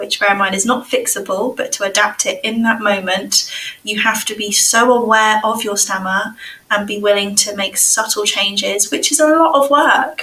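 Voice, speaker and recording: A fairly high-pitched woman with an English accent, ordinary pitch variation and a moderate pace, over noticeable background noise. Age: 30s. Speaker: speech and language therapist. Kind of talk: casual chat.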